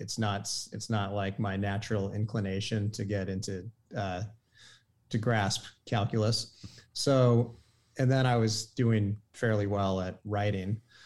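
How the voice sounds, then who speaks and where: This man has a normal speaking voice at medium pitch, with an American accent and a fairly slow pace, on a very clean recording with a silent background. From Maine, US. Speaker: automotive journalist. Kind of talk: casual interview.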